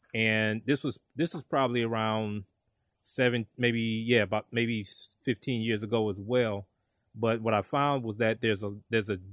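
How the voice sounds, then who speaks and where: A man with an American accent speaks at a medium pitch and a fairly slow pace in an ordinary speaking voice, with a dry, close sound free of echo and a very clean recording over a silent background. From Detroit, Michigan. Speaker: podcast host, business co-founder. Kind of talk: interview; scripted outro.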